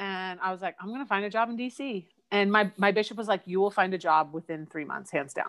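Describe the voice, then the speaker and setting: This voice, with an American accent, moves at a fairly quick pace with ordinary pitch variation. The recording is very clean, with a silent background. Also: woman. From Eugene, Oregon, US Pacific Northwest. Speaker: church member sharing faith story. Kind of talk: interview testimony.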